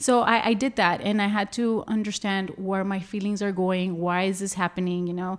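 A woman speaks at a medium pitch and a moderate pace, with hardly any pauses. It is a plain, everyday voice. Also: fairly even intonation. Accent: American. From Laredo, Texas. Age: 30s. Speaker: self-care and anti-abuse advocate. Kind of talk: interview.

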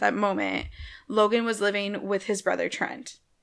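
A woman speaks at a moderate pace and medium pitch in a monotone, flat intonation, her bright, sharp tone edged with vocal fry on a very clean recording with a silent background. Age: 20s. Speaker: podcast co-host. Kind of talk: casual chat.

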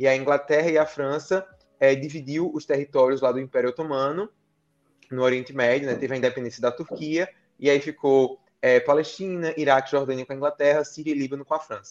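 A man with a normal speaking voice talks at a fairly quick pace, his pitch fairly high and his intonation fairly even. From Brazil, Paraíba (Campina Grande). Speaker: international relations scholar. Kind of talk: interview. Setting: live-streamed podcast.

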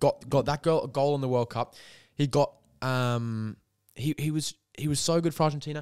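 A man with an Australian accent talks at a moderate pace, his pitch fairly high and his intonation fairly even. The recording is very clean with a silent background and a dry, close sound with no echo. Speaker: football podcast co-host. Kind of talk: casual chat.

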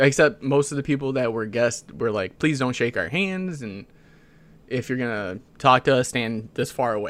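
A man's medium-pitched voice, an ordinary speaking voice with ordinary pitch variation. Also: moderate pace. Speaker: podcast co-host. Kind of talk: casual chat.

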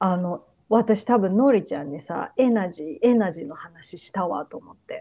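At a fairly slow pace, a woman speaks in a dark, mellow voice of medium pitch, with lively intonation and big swings in loudness. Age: 40s. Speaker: podcast co-host. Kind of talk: casual chat.

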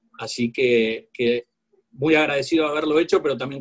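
Somewhat breathy, a man with a fairly high pitch talks at a fairly quick pace. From Argentina. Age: 40s. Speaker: corporate lawyer. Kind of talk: interview.

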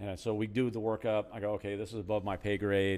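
A man talks at a fairly quick pace with an American accent. He has an ordinary speaking voice, fairly low in pitch, with fairly even intonation. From Southern California. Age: 50s. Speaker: retired police sergeant, now realtor. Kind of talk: casual chat.

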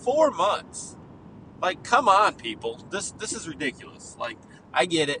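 A high-pitched man at a fairly slow pace, with very wide pitch swings, big swings in loudness and noticeable background noise. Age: 30s. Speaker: podcast host. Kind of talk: casual monologue. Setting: in a car.

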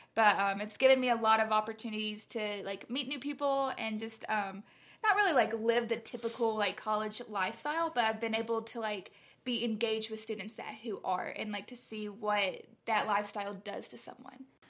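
A woman with a Southern US accent speaks fairly quickly at a fairly high pitch, her intonation fairly even. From US South, Carrollton, Georgia. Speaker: college student. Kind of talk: casual chat.

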